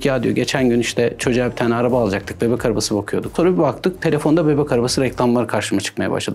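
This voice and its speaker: A man is speaking. Music plays in the background. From Erzurum, eastern Turkey. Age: 40s. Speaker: cybersecurity expert. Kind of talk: interview.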